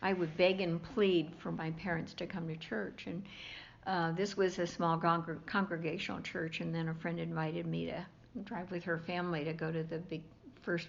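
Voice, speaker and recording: A woman with an American accent talks at a moderate pace and fairly low pitch. Her voice has vocal fry and fairly even intonation. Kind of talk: interview answer. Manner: warm.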